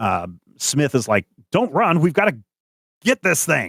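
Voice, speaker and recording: Using a put-on character voice, a man speaks at a moderate pace in a fairly high pitch, with very wide pitch swings. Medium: actual play.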